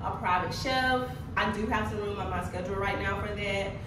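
Against noticeable background noise and audible room echo, a woman speaks at a moderate pace. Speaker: wellness coach. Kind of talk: casual vlog chat. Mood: upbeat, relieved. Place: home room.

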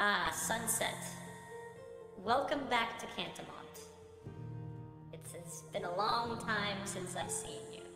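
With clear music in the background and a clear echo, a put-on character voice speaks at a fairly high pitch and a fairly slow pace. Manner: formal, welcoming.

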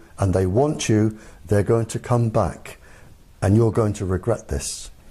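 Somewhat breathy and dark, mellow in tone, a man with an English accent speaks at a fairly slow pace in a fairly low pitch with ordinary pitch variation. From England. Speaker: former military microwave weapons expert. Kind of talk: interview.

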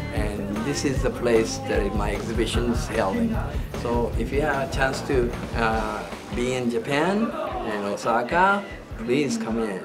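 A man talks at a fairly slow pace while music plays behind him. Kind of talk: interview answer. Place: hall. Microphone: phone near.

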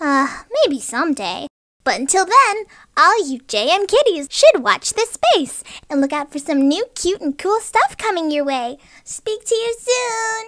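A woman performs a cartoonish character voice at an extremely high pitch with very wide pitch swings. Her pace is moderate. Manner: upbeat, cheerful.

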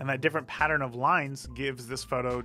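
Faint music plays in the background as the speech runs at a fairly quick pace with fairly even intonation. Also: man. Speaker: photographer host. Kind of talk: tutorial. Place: studio. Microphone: studio mic.

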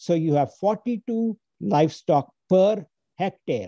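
A man speaks very slowly in a dark, mellow tone with lively intonation. The sound is dry with no echo, and the background is quiet. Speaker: speaker. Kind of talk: talk to an online audience. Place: home room. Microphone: earbuds.

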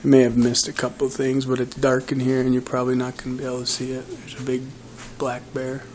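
Very fast pace with light background noise. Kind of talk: casual tour narration. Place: home room. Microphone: phone near.

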